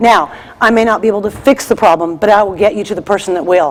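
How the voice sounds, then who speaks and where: Ordinary pitch variation colors a woman's speech at a fairly quick pace. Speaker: state purchasing vendor specialist. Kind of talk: conference presentation. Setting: conference stage with audience. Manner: loud.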